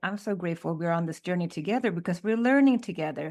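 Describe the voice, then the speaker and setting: A woman with a Swedish accent and lively intonation, on a very clean recording with a silent background. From Sweden. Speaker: podcast co-host. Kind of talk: casual chat.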